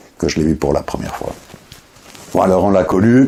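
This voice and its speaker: Noticeable background noise accompanies a man whose very deep, low pitch shifts in an ordinary way. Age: 60s. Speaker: writer. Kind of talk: personal recollection interview. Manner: halting, many repetitions and fillers.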